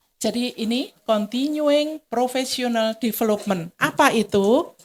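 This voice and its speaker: Her tone dark and mellow, a woman talks at a fairly high pitch. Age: old. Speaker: seminar speaker on spa management. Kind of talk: seminar lecture. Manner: interactive, addresses audience.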